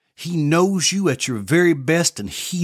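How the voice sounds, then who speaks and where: A man's fairly slow speech on a very clean recording with a silent background. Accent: Tennessee. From US South, Southeast Tennessee. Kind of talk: personal testimony and devotional talk.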